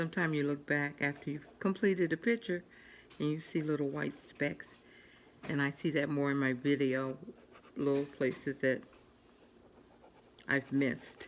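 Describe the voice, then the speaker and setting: A woman talks at a moderate pace with long, frequent pauses. Her pitch is very deep and low, with ordinary variation. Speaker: coloring channel host. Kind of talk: casual tutorial while coloring. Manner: voice drops lower while concentrating; soft-spoken.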